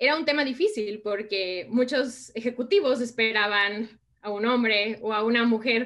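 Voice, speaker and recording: Against a quiet background, a woman in an ordinary speaking voice talks at a fairly slow pace and fairly high pitch, with ordinary pitch variation and hardly any pauses. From Mexico. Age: 30s. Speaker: innovation consultant. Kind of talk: interview.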